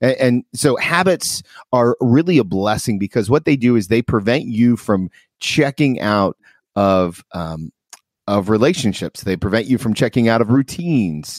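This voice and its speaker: A man with an ordinary speaking voice talks at medium pitch and a moderate pace, his intonation lively. The recording is very clean, with a silent background and a dry, close sound with no echo. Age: 40s. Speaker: podcast host. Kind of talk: casual chat.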